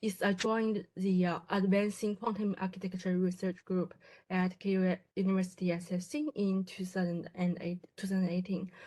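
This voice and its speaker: In a Chinese accent, a woman talks at a moderate pace with a medium pitch and fairly even intonation. Her voice is somewhat breathy, with a dark, mellow tone. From China. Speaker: graduate student in quantum computing. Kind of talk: presentation. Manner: halting, many fillers and restarts.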